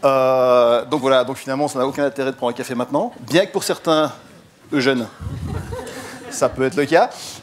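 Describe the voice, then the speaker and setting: Noticeable background noise surrounds the speaker. A man talks at a fairly high pitch with ordinary pitch variation. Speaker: digital marketing consultant and lecturer. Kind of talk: conference talk. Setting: stage with audience. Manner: fast; energetic.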